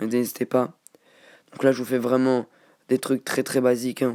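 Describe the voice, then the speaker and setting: A man talks at a fairly slow pace with a medium pitch, pausing long and often. His loudness stays very even throughout. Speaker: gaming youtuber. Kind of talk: tutorial. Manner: halting.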